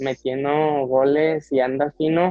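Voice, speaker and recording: A man's monotone, flat intonation in a Mexican accent. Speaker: football podcast co-host. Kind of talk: casual chat. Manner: halting.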